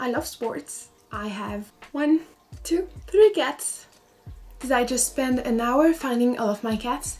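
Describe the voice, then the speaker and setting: Music plays in the background as the speaker, in a French accent, talks at a very slow pace with long, frequent pauses. The intonation is lively. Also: woman, high pitch for a woman. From France. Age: 20s. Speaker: architecture student and vlogger. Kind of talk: casual vlog monologue. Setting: home in France.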